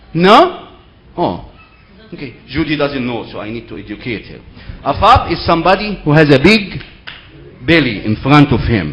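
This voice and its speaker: At a moderate pace broken by long, frequent pauses, the voice makes very wide pitch swings and big swings in loudness, with audible room echo and noticeable background noise. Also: man, fairly high pitch for a man. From Egypt. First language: Arabic. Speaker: seminar speaker. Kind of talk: lecture.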